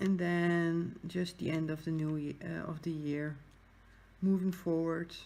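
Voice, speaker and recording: A woman with a Dutch accent speaks at a fairly slow pace and a fairly low pitch. Her tone is dark and mellow, and her intonation is monotone and flat. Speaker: craft YouTuber. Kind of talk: casual chat. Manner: hesitant.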